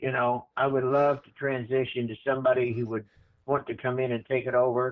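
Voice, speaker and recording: Monotone, flat intonation marks this man's medium-pitched speech at a fairly quick pace. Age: 80s+. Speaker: whiskey distiller and corn breeder. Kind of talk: casual chat.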